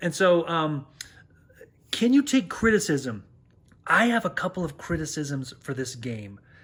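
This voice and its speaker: This man's voice sits high for a man and swings very widely in pitch as he speaks at a moderate pace. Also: very clean recording, silent background. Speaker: board game youtuber. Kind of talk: video review. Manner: louder when excited; casual with many fillers.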